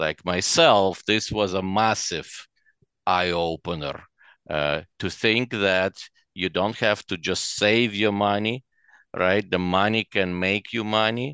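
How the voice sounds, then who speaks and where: Very slow with long, frequent pauses, a man's fairly low voice has a bright, sharp tone and ordinary pitch variation, recorded dry and close with no echo against a quiet background. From Ukraine (Chernivtsi), Soviet Union. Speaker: real estate investor. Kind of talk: interview. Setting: video call. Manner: halting.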